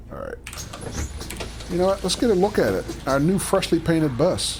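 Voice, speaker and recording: Music plays behind a man with an American accent who talks at a fairly quick pace. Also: big swings in loudness. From Philadelphia, US. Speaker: video game streamer. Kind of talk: livestream gameplay commentary. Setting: live stream with chat. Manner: casual, chatty.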